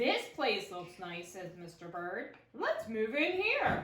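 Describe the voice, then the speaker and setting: A woman does a put-on character voice at a fairly high pitch and a fairly slow pace, with a slight echo. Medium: read story.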